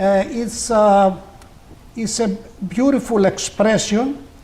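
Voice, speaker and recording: A man with a Greek accent speaks very slowly, with ordinary pitch variation. Audible room echo surrounds his voice. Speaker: community leader and folk poet. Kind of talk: interview. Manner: halting, many fillers.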